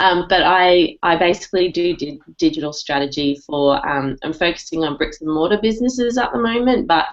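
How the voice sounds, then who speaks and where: A woman with an Australian accent at a moderate pace, with ordinary pitch variation. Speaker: digital marketing strategist. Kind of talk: casual panel chat. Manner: animated.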